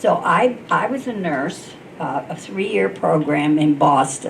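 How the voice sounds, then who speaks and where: A woman's lively, bouncing intonation over noticeable background noise. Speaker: retired nurse, civic league member. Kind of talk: panel storytelling. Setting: panel with student audience.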